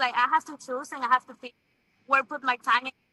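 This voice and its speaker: A woman's raised, projected voice in a Venezuelan accent, dry and close with no echo. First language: Spanish. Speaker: TV host and model. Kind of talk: interview. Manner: halting.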